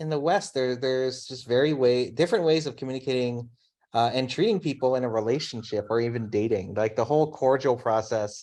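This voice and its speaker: Here a man with an American accent talks at a fairly quick pace in a medium pitch. His tone is dark and mellow, with ordinary pitch variation over a quiet background. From US, Filipino background. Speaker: design leader. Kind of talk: casual interview chat. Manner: fast.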